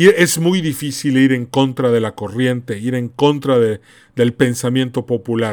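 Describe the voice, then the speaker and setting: On a very clean recording with a silent background, a man speaks slowly-ish, at a fairly slow pace, with medium pitch and ordinary variation. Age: 40s. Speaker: podcast host. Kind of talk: solo commentary monologue. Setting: podcast recording. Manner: animated.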